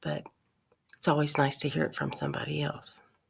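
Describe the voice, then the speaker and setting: Whispering, a woman speaks at a moderate pace. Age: 60s. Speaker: video blogger. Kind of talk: casual monologue to camera.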